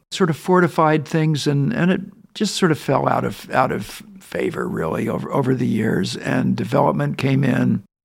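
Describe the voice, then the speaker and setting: Here a man speaks with an American accent. His pitch is fairly high. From Southern California. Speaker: winery owner. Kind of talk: casual interview. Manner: halting.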